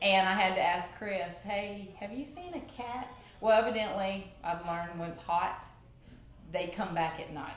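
A woman's medium-pitched voice with big swings in loudness and ordinary pitch variation, at a moderate pace, amid noticeable background noise and audible room echo. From Louisiana, Cajun Country. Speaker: gym member, athlete of the month. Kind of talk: casual interview. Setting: studio.

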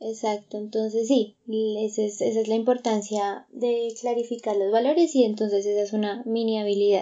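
A woman's fairly high voice holds fairly even intonation and moves at a moderate pace. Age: 20s. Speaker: psychologist, podcast co-host. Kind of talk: casual chat.

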